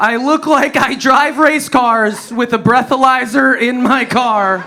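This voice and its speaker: Over noticeable background noise, a man with an American accent uses a raised, projected voice at extremely high pitch and a fairly slow pace. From US Midwest, Wisconsin. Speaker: stand-up comedian. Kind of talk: stand-up. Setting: stage with audience. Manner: animated.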